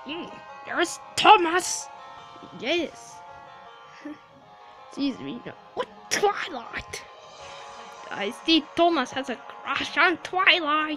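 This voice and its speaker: A put-on, high-pitched character voice at a very slow pace over clear music in the background. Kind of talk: fan-made character dialogue.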